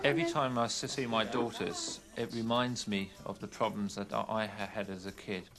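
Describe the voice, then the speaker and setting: With an English accent, a man speaks at a moderate pace over noticeable background noise. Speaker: documentary presenter. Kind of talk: personal testimony. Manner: halting.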